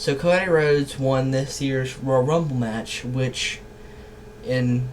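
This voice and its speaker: Noticeable background noise sits behind this man. His medium-pitched voice keeps fairly even intonation. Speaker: YouTuber. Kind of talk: casual commentary monologue. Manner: hesitant, many fillers.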